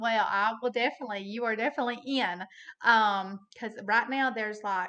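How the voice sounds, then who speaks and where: Over a quiet background, a woman with a Southern accent speaks at a moderate pace in a fairly high pitch, her tone bright and sharp. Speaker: hunter. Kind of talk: casual chat. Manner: animated; halting.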